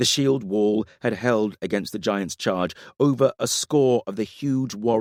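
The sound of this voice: The pitch shifts in an ordinary way. It is an unforced reading voice.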